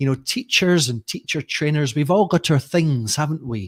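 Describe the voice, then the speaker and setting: A man with a Scottish accent talks at a moderate pace in a dry, close recording with no echo. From Scotland, Edinburgh. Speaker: teacher trainer and author. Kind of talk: webinar presentation. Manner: chatty, informal. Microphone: brand new microphone.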